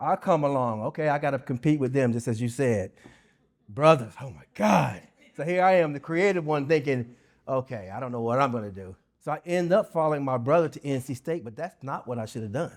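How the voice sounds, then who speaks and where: In a very clean recording with a silent background, a man with an American accent and an ordinary speaking voice talks with lively intonation and big swings in loudness. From US South. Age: 60s. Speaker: keynote speaker, nonprofit founder. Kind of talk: keynote speech. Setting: luncheon with audience.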